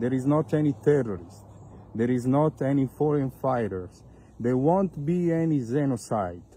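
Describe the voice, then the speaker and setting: With an Italian accent, a man speaks in a dark, mellow, somewhat breathy tone, the sound dry with no echo. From Italy. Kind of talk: video appeal. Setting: outdoors in vineyards. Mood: earnest, appealing. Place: open country. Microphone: phone near.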